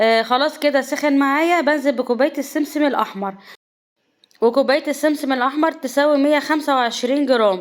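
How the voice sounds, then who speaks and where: A high-pitched woman's voice with ordinary pitch variation and very even loudness, on a very clean recording against a silent background. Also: moderate pace. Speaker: cooking channel host. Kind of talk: cooking tutorial.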